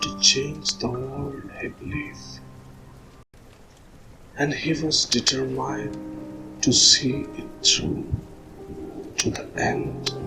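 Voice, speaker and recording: Soft-spoken and whispering, a man talks at a very slow pace with long, frequent pauses while music plays in the background. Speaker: ASMR storyteller. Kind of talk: whispered sleep story. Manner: whispered, soft-spoken.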